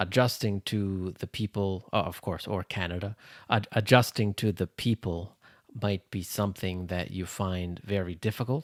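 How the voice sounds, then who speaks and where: A man talks fairly slowly with a fairly low pitch and fairly even intonation. The recording is very clean, with a silent background. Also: dry, close sound with no echo. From Canada. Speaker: English teacher. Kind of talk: English lesson podcast. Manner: slow, clear.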